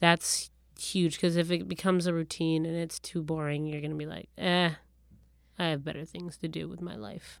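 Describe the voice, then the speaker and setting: Heard on a very clean recording with a silent background, a normal speaking voice moves at a moderate pace with fairly even intonation and big swings in loudness. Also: woman, fairly low pitch for a woman. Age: 30s. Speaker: podcast co-host. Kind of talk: casual chat.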